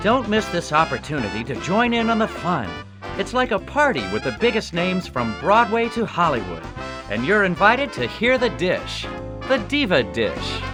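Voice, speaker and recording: A man keeps a moderate pace while music runs underneath. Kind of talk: trailer voice-over.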